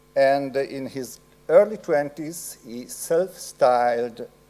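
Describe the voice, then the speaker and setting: With an Italian accent, a man of medium pitch speaks at a very slow pace. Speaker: professor. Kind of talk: lecture. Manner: halting.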